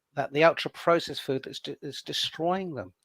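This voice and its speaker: A man with a fairly high pitch talks in an ordinary speaking voice with lively intonation. The recording is very clean and dry, close with no echo, over a silent background. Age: 60s. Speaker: wellness campaigner. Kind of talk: interview.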